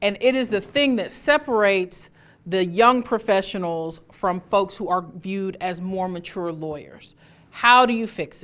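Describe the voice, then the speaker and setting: A woman with a medium-pitched voice speaks at a fairly slow pace, her pitch varying in an ordinary way while her loudness swings widely, on a very clean recording with a silent background. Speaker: trial lawyer and advocacy teacher. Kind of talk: instructional talk.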